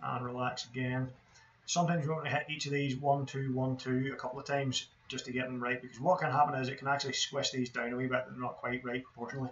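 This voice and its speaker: Over noticeable background noise, a man talks at a very fast pace. His medium-pitched voice stays monotone and flat. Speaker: 3D game artist. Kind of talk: tutorial.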